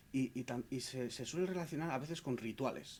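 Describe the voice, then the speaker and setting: A plain, everyday voice, a man's at medium pitch, fairly quick in pace with ordinary pitch variation. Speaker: interviewer, library host. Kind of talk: interview questions.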